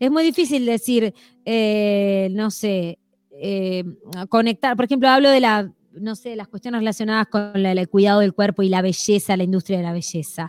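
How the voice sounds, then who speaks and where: A woman speaks at a medium pitch and moderate pace, with ordinary pitch variation. The recording is very clean with a silent background, and the sound is dry and close with no echo. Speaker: radio host. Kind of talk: casual chat. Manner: animated.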